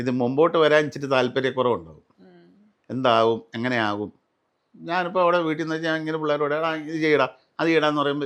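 A man speaks in an unremarkable speaking voice. His pitch sits fairly high and varies in an ordinary way. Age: 60s. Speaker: serial and film actor. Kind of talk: casual interview.

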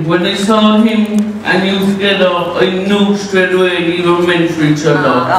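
Strong room echo and light background noise surround a man speaking at a moderate pace in a high pitch. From Ireland. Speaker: best man. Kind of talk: wedding speech. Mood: joking, teasing. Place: hall.

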